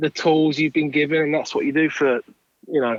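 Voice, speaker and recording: At a moderate pace, a man with a fairly high pitch for a man speaks in an English accent. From southern England, Kent. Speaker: songwriter and record producer. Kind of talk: interview.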